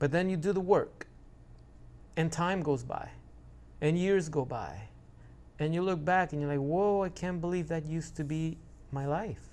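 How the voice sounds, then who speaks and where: An animated man's voice, fairly high in pitch, at a moderate pace with ordinary pitch variation. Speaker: YouTuber discussing narcissistic abuse recovery. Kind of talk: casual vlog monologue.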